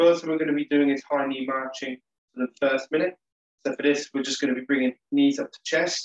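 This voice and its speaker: A man talking at a very fast pace, with audible room echo and a quiet background. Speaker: exercise instructor. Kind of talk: tutorial. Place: home room. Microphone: webcam.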